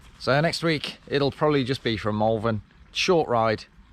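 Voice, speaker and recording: With an English accent, this man talks. He keeps a moderate pace. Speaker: cycling vlogger. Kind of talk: vlog monologue. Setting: outdoors cycling, then in car. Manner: casual, rambling.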